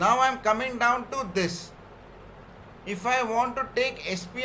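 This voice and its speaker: An extremely high-pitched man's raised, projected voice, ordinary pitch variation, noticeable background noise and audible room echo. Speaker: software trainer. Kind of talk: technical training session.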